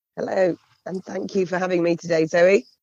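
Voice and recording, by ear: In a put-on character voice, a woman speaks at a fairly quick pace and medium pitch. Her voice is raspy and croaky.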